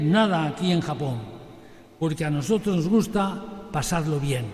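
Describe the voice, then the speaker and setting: Amid noticeable background noise and audible room echo, a man speaks at a fairly slow pace with ordinary pitch variation. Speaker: priest and retired missionary. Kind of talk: sermon. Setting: sanctuary with congregation, broadcast on radio.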